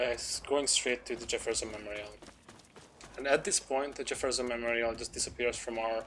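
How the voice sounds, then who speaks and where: With noticeable background noise, a man with a non-native accent speaks at a fairly quick pace and fairly even intonation. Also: medium pitch for a man. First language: not English. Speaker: speedrunner. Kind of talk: gameplay commentary. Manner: halting.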